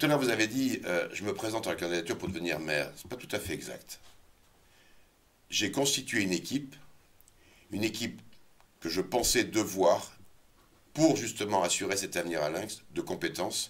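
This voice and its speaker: A man's fairly low voice with lively intonation, a moderate pace, and long, frequent pauses. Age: 60s. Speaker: local election candidate. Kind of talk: interview. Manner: hesitant, many fillers.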